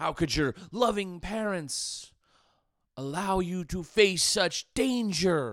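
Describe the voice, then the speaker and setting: A man with a high pitch speaks at a very slow pace with lively intonation on a very clean recording with a silent background. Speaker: podcaster. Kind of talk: monologue podcast talk, reflective, religious commentary. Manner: formal, wordy, somewhat stressed.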